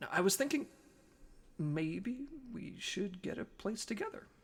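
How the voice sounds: Someone puts on a character voice with a slightly husky edge, talking at a fairly slow pace with big pitch swings. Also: man, high pitch for a man.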